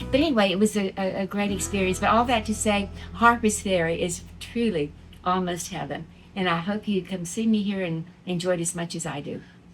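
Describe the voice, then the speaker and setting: Against music in the background, someone speaks at a fairly quick pace with an American accent. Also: woman, medium pitch for a woman, ordinary pitch variation. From Texas. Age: 70s. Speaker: innkeeper and retired educator. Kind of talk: interview.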